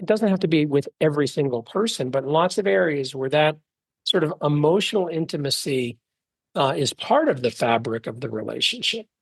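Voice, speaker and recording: Using an unremarkable speaking voice, a man talks at a fairly quick pace with a fairly high pitch and lively intonation. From Texas, Dallas. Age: 50s. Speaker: venture investor. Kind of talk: interview.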